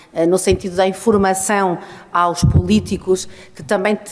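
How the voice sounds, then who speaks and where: This woman has a normal speaking voice with a medium pitch. She speaks at a fairly slow pace with fairly even intonation. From northern Portugal. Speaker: urban mobility engineer and consultant. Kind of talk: conference talk.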